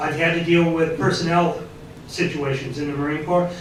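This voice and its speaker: A man speaks high in pitch with fairly even intonation. Audible room echo and noticeable background noise surround him. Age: 50s. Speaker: teacher and Marine veteran, house candidate. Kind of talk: political candidate forum statement. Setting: public forum at a college.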